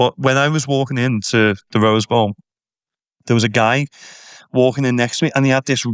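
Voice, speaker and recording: In a Liverpool accent, a man with a medium pitch and ordinary pitch variation talks at a fairly quick pace, the sound dry and close with no echo against a quiet background. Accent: Scouse (Liverpool). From Liverpool, England. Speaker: tour guide. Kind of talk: casual chat. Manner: animated.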